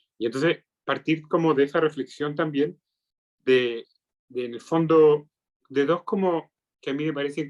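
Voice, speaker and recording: The speaker has a Chilean accent and a moderate pace. The recording sounds dry and close, with no echo. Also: man. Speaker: psychiatrist. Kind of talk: lecture.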